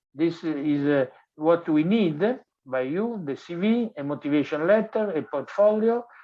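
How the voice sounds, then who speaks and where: A man with an Italian accent speaks at a fairly slow pace and a high pitch. His intonation is lively. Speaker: design professor. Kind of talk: lecture. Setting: online webinar. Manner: halting, many fillers.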